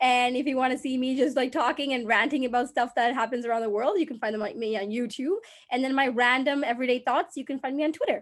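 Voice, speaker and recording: The speech moves at a very fast pace. Pitch varies in an ordinary way. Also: woman, high pitch for a woman. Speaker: social media creator. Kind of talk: interview. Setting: video call.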